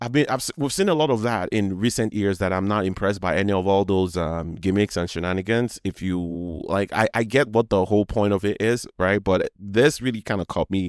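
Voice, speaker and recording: A man with a Nigerian accent talks fairly quickly at a fairly low pitch, with ordinary pitch variation. The recording is very clean and dry, close with no echo, over a silent background. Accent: Nigerian accent, noticeable. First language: Yoruba. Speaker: podcast host. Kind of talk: casual monologue. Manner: halting, many false starts.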